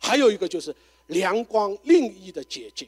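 Dry and close with no echo, a man's high-pitched voice moves through very wide pitch swings. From China, Shanghai. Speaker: pastor. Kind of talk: forum talk. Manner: halting, many fillers.

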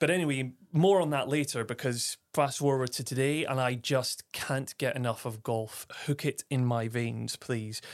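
On a very clean recording with a silent background, a man at a medium pitch speaks at a moderate pace with hardly any pauses and ordinary pitch variation, the sound dry and close with no echo. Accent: Aberdeen. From Aberdeen, northeast Scotland. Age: 30s. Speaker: podcast host. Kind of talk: solo podcast monologue.

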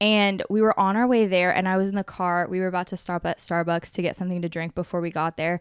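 On a very clean recording with a silent background, a woman talks very fast at a medium pitch, her monotone, flat delivery dry and close with no echo. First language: Spanish. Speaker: podcast host. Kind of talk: casual chat.

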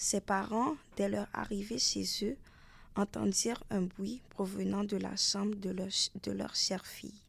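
The text is being read aloud. The voice sounds natural.

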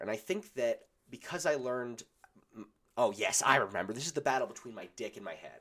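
This man talks at a moderate pace. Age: 20s. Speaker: podcast host. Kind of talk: casual monologue. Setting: home recording in basement. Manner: loud.

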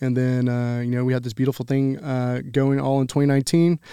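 In a Texan accent, a man talks at a very fast pace with a medium pitch and monotone, flat intonation. His tone is dark and mellow, and the very clean recording has a silent background and a dry, close sound with no echo. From Texas, Grand Prairie. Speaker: barbecue pitmaster and restaurant owner. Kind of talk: casual interview.

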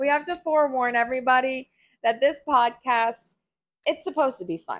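A woman speaks loudly in a high pitch with an animated tone and a fairly quick pace. The recording is very clean, with a silent background. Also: ordinary pitch variation. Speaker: podcast host, works in higher education. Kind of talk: casual chat. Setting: home recording during thunderstorm. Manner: loud, animated.

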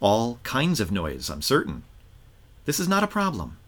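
Vocal fry and very wide pitch swings in a man's speech. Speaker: rabbi and podcast host. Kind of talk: guided meditation, reading a teaching aloud; podcast interview.

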